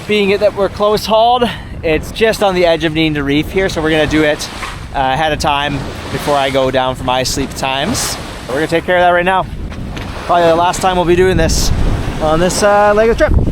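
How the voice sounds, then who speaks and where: A man's high-pitched voice at a fairly quick pace, over noticeable background noise. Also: ordinary pitch variation. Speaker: sailor and video creator. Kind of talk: vlog narration to camera. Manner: fast.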